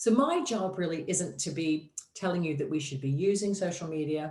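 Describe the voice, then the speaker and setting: A woman with an American accent speaks at a fairly low pitch and moderate pace with lively intonation, against noticeable background noise. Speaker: digital marketing consultant. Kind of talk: presentation.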